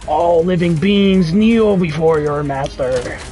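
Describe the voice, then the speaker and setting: Using a put-on character voice, a man with a high pitch speaks at a fairly slow pace over clear background noise. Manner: menacing, commanding.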